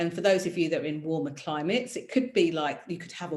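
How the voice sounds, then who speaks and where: Her pitch swinging very widely, a woman talks in a British accent. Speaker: career mentor and presenter. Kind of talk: online masterclass. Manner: fast; animated.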